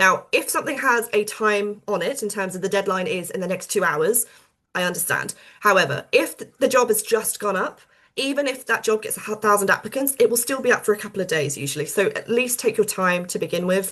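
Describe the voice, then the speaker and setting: Bright and sharp in tone, this voice with a British accent moves at a fairly quick pace with lively intonation. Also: woman, fairly high pitch for a woman. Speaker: publishing professional giving career advice. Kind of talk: webinar presentation. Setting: online webinar with screen sharing. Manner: fast.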